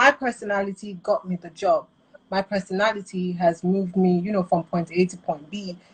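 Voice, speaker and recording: The woman speaks fairly quickly. Some breathiness runs through her voice. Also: medium pitch for a woman. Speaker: radio presenter. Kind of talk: interview. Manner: casual, animated.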